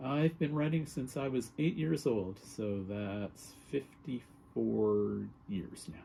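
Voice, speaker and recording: A somewhat breathy man's voice, fairly low and dark, mellow in tone, very slow yet with hardly any pauses, and lively in intonation. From Canada. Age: 60s. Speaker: writer. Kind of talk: casual chat.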